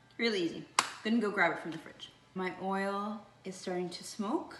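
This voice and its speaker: A woman speaks at a medium pitch and moderate pace, with audible room echo and noticeable background noise. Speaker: cooking channel host, chef. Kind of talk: cooking tutorial.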